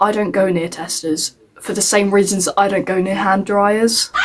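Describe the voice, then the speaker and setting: A woman with an English accent speaks at a fairly slow pace and a medium pitch. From England. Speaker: YouTuber. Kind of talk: scripted commentary video. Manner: halting, self-correcting.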